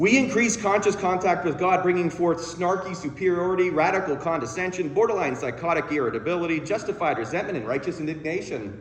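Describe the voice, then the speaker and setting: A man races along at a very fast pace with hardly any pauses, his high voice full of lively intonation. Noticeable background noise and audible room echo are present. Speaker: counselor and guest speaker. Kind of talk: sermon. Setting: church.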